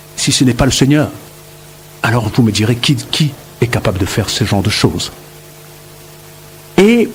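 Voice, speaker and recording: The man's moderate-paced speech swings very widely in pitch amid noticeable background noise. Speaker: missionary radio preacher. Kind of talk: radio Bible teaching. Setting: radio studio. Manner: hesitant fillers, n'est-ce pas.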